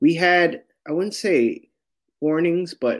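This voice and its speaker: The speaker has a Californian accent. The recording is very clean, with a silent background. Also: man. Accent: Californian American English. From San Francisco, Sunset District. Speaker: guest, home baker. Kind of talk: casual interview.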